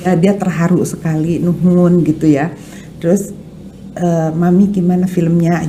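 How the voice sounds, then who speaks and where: Speech comes at a moderate pace, with noticeable background noise and audible room echo. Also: woman. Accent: West Javanese. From West Java (Sundanese). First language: Sundanese (speaking Indonesian). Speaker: art dealer and film producer. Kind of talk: podcast interview. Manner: hesitant, with fillers.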